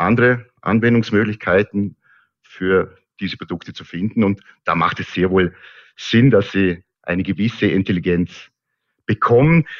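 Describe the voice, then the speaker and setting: A man's fairly low voice moves fairly slowly, its pitch varying in an ordinary way. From Austria, Vorarlberg (Lustenau). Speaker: textile company founder. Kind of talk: interview. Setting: remote link. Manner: halting, frequent repetitions.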